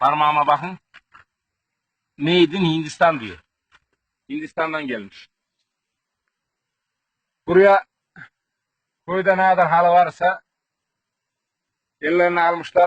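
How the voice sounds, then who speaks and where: With a Central Anatolian accent, a man at a fairly high pitch speaks at a moderate pace, using ordinary pitch variation and long, frequent pauses. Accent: Kırşehir Turkish dialect. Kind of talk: comedic village tour to camera.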